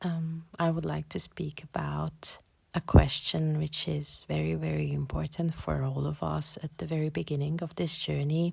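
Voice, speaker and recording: A woman with a non-native accent talks at a moderate pace. She leaves hardly any pauses. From Hungary. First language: Hungarian. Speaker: podcast host, spiritual. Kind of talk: spiritual podcast monologue. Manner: halting, many repetitions and fillers.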